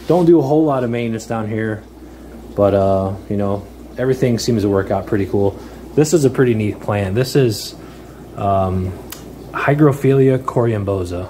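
The speaker leaves long, frequent pauses and uses ordinary pitch variation. Light background noise sits underneath. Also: man, moderate pace. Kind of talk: casual tour commentary. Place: home room. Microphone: phone near.

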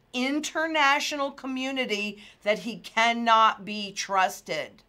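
In a quiet background, a woman speaks in a raised, projected voice. Her pitch is high and her tone bright and sharp. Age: 60s. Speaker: financial market analyst. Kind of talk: market commentary video. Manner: animated. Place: office.

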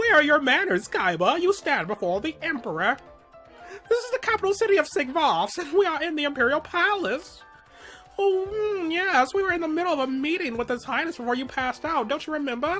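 A put-on character voice at a high pitch comes through with clear music in the background. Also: fairly quick pace. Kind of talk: pompous, commanding. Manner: wacky.

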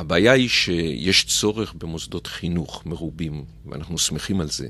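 A man with a very deep, low pitch and a bright, sharp tone speaks at a fairly slow pace with ordinary pitch variation. The sound is dry, with no echo. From Israel, Petah Tikva; Israel. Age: 50s. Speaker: mayor and lawyer; guest. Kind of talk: radio interview; interview answer. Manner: hesitant, many filler sounds. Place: studio. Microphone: studio mic.

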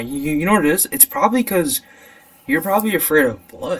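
A man speaks fairly quickly in an American accent, with very wide pitch swings. Noticeable background noise runs beneath him. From USA. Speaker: podcast host. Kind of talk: casual chat. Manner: animated.

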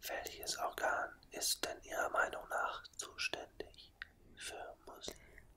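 With noticeable background noise, a whisper unfolds at a very slow pace. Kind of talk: ASMR re-enactment of an interview, asking questions. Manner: whispered, very close.

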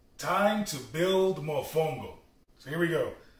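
A man's very slow speech is heard with audible room echo. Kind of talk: tutorial. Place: kitchen. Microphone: camera far.

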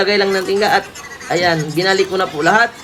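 Someone talks at a fairly quick pace while crowd noise carries in the background. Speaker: phone repair technician and video creator. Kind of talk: tutorial. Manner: casual, with fillers.

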